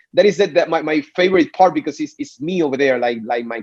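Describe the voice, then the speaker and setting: Over music in the background, a man with a Puerto Rican accent talks at a fairly quick pace in a dry, close sound with no echo. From Puerto Rico. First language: Spanish. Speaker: singer. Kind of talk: interview. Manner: halting, many repeated words.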